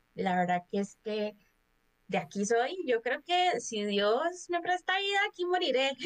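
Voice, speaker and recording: At a fairly slow pace, a woman speaks with very wide pitch swings. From Costa Rica, Cartago. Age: 20s. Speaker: podcast guest, HR worker. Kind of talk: casual chat.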